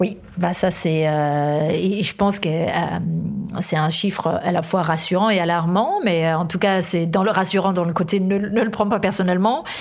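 A woman with a Danish accent speaks at medium pitch and a fairly slow pace against noticeable background noise. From Denmark. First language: Danish (speaking French). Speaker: author, workplace wellbeing specialist. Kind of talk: interview.

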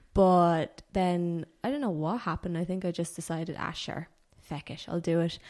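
A woman with an Irish accent, fairly low in pitch, ordinary pitch variation, moderate pace. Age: 20s. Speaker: personal trainer and powerlifter. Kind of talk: casual chat.

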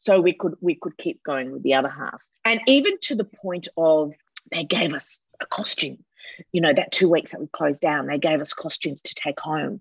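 Loudness swings widely in this voice with an Australian accent. The sound is dry and close with no echo, over a quiet background. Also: woman, moderate pace. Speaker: actress. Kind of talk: interview.

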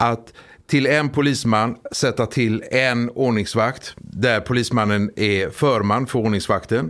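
On a very clean recording with a silent background, a man speaks very slowly at a medium pitch, his intonation fairly even and his loudness very even. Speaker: police officer. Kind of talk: interview.

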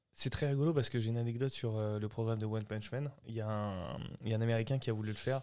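Speaking at a very fast pace, a man keeps his intonation fairly even. His pitch is medium. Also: very clean recording, silent background. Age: 30s. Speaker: podcast host. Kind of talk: casual chat.

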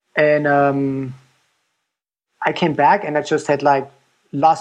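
Fairly high-pitched male speech with a German accent and a quiet background. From Germany. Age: 50s. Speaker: ultrarunner and designer. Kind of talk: casual interview chat.

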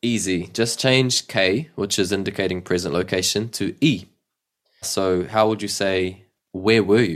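With a New Zealand accent, a man speaks at a moderate pace and a fairly low pitch with ordinary pitch variation, on a very clean recording with a silent background. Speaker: language teacher. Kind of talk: language lesson. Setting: at home.

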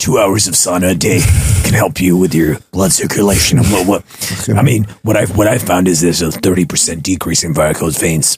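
In a put-on character voice, a man speaks with a very deep, low pitch. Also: moderate pace.

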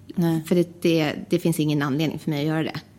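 Noticeable background noise runs under a woman whose voice is fairly low in pitch. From Sweden, Västerås. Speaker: flight attendant. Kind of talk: casual interview. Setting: studio.

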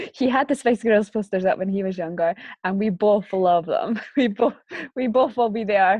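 At a moderate pace, a woman with a Scottish accent talks at a medium pitch with ordinary pitch variation. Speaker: podcast co-host. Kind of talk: casual chat.

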